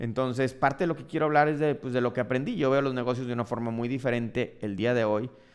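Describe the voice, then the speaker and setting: A man at a medium pitch with a northern Mexican accent, ordinary pitch variation and a very fast pace. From Mexico, Monterrey, Nuevo León. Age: 40s. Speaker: dermatologist and entrepreneur, podcast host. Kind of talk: personal storytelling monologue.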